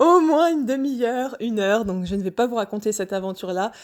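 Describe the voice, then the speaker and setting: On a very clean recording with a silent background, a woman with a Normandy accent speaks at a moderate pace with ordinary pitch variation. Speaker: personal vlogger sharing wellbeing journey. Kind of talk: personal testimony, casual monologue. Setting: home, evening audio recording. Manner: hesitant, many fillers.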